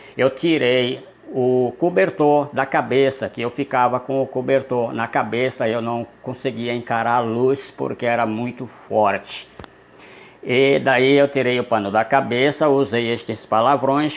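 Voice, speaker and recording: A man talks at a fairly slow pace with a medium pitch and ordinary pitch variation. Noticeable background noise sits behind him. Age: 60s. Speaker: storyteller. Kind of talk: personal storytelling. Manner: conversational, addressing viewers.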